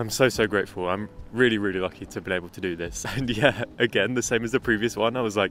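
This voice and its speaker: Talking at a very fast pace with hardly any pauses, a man with a fairly low pitch keeps his intonation fairly even, in a dry sound with no echo and light background noise. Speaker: travel vlogger. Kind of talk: casual vlog chat. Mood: happy, grateful. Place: waterside. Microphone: lapel.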